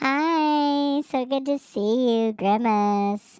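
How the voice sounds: A female-sounding, high-pitched put-on character voice speaks very slowly. The recording is very clean, with a silent background.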